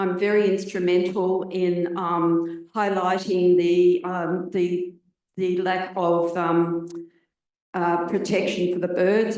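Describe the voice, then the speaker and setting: A woman speaks with an Australian accent at medium pitch. Her intonation is monotone and flat. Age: 70s. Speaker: audience member, renter and environmental activist. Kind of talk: audience question at forum.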